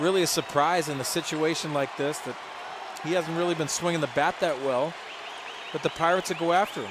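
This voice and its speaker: Fairly quick, fairly high-pitched male speech with fairly even intonation, dry and echo-free, with crowd noise in the background. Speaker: radio game analyst. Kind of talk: baseball radio analysis. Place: stadium.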